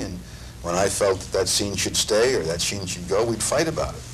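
A man speaks over light background noise. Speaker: actor, interviewee. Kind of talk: interview answer. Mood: warm, thoughtful. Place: studio.

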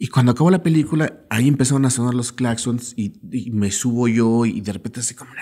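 Someone with a Mexican accent speaks at a fairly quick pace in a dark, mellow tone, with ordinary pitch variation over a quiet background. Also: man, big swings in loudness. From Mexico. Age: 40s. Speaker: filmmaker and screenwriter; podcast guest. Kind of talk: casual interview. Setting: in-person recording. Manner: halting, many repetitions. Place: studio. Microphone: studio mic.

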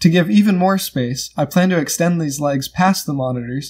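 Against a quiet background, a somewhat breathy man talks at a fairly quick pace with ordinary pitch variation. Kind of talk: tutorial. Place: home room. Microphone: phone near.

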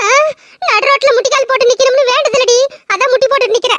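A woman in a cartoonish character voice with an extremely high pitch speaks at a moderate pace, with fairly even intonation, very even loudness and a dry, close sound with no echo. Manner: quick, cheeky retorts.

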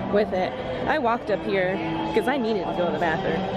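A woman at a fairly quick pace with ordinary pitch variation, a dry sound with no echo, and loud music in the background. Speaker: vlogger. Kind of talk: casual vlog chat. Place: street. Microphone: phone near.

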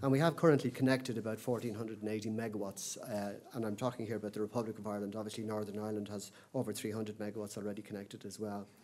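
The pace is very fast. A man speaks with ordinary pitch variation. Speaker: conference speaker. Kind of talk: lecture. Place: hall. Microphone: podium.

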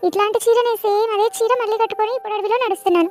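A cartoonish character voice, female-sounding and extremely high in pitch, at a fairly quick pace. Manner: muttering to herself.

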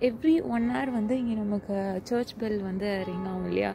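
A quiet woman with lively intonation, dry sound with no echo, and music in the background. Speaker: travel vlogger. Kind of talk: casual walking vlog narration. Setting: outdoors. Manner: quiet, low volume.

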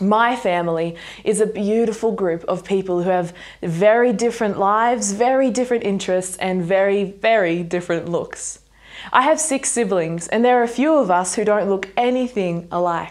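In a quiet background, a woman speaks at a moderate pace with ordinary pitch variation. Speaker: speaker. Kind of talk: sermon. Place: home room.

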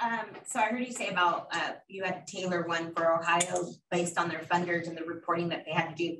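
Speaking in an unremarkable speaking voice, a woman moves at a fairly quick pace with hardly any pauses, a fairly low pitch and fairly even intonation. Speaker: audience member. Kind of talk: Q&A question.

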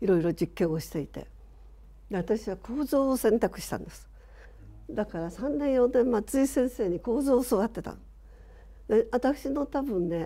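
Lively intonation and big swings in loudness mark this dark, mellow voice with vocal fry. The pace is moderate, broken by long, frequent pauses. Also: woman. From Shizuoka, Japan. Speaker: architect. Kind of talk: reminiscence in panel discussion. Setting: online panel discussion.

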